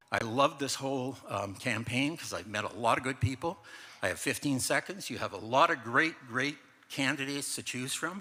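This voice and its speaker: A man with a Canadian accent speaks at a moderate pace, his medium-pitched voice bright and sharp, with ordinary pitch variation. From Canadian Prairies, Winnipeg. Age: 70s. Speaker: council candidate. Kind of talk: campaign speech.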